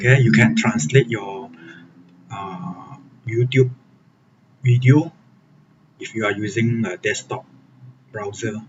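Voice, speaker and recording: Speaking at a very slow pace with a non-native accent, a man with a medium pitch and vocal fry uses lively intonation, big swings in loudness and long, frequent pauses. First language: Chinese. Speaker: software developer and programming tutor. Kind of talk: live-streamed coding tutorial. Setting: live stream. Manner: hesitant, frequent fillers (okay, uh).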